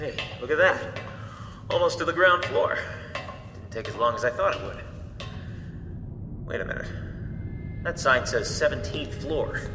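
The voice sounds nervous, moving at a very slow pace with big swings in loudness. Noticeable background noise runs underneath. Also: man. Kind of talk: audio drama preview, first-person adventure acting. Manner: breathless, nervous, wisecracking, rising to panic at the end.

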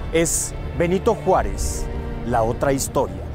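Clear music plays in the background as a man speaks very slowly, the sound dry with no echo. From Tabasco, Mexico. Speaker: TV news anchor and host. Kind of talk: TV documentary special introduction. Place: street. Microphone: lapel.

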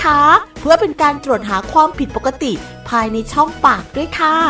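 Lively intonation carries over music in the background. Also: woman. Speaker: voice talent. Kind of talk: public health information spot read.

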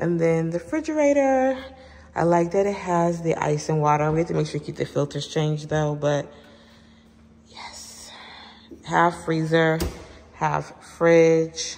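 A woman talks at a fairly slow pace in a fairly low voice with ordinary pitch variation. She takes long, frequent pauses. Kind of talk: casual vlog chat. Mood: excited, relaxed. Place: home room. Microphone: phone near.

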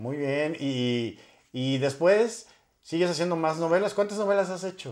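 A high-pitched man at a fairly slow pace with lively intonation, over a quiet background. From Mexico. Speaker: YouTube interviewer. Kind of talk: interview. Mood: friendly, upbeat. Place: home room. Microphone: lapel.

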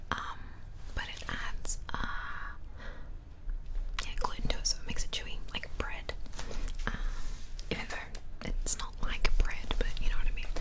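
Moderate-paced woman's voice amid noticeable background noise. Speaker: ASMR creator. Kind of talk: ASMR cookbook review. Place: home room. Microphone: studio mic.

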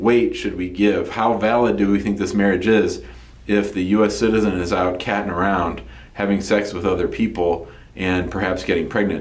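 There is a man with an ordinary speaking voice, talking at a fairly low pitch and a moderate pace with fairly even intonation. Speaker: immigration lawyer. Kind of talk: explanatory talk to camera. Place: office.

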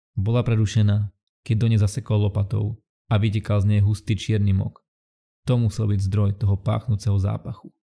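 A man's fairly low, dark and mellow voice, somewhat breathy, with very even loudness, monotone, flat intonation and a moderate pace, on a very clean recording with a silent background. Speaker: channel narrator.

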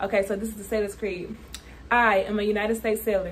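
A woman talks at a very fast pace. Light background noise sits behind her. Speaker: navy sailor vlogger. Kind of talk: casual vlog chat. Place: home room. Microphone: phone near.

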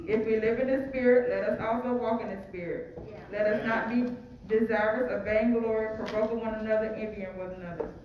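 The speech comes at a fairly quick pace, with audible room echo and noticeable background noise. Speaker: church announcer and scripture reader. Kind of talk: welcome and scripture reading. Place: church. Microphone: podium.

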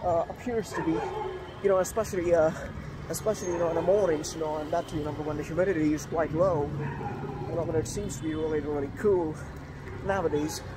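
A man rattles along very fast while background noise is clearly audible. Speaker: vlogger. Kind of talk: casual vlog chat. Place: street. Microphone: phone near.

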